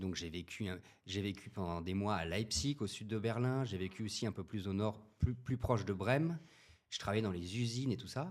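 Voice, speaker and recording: Moderately paced, this man's speech shows ordinary pitch variation. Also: fairly low pitch for a man. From France, Paris region. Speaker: podcast guest. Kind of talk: casual interview. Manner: hesitant, many fillers.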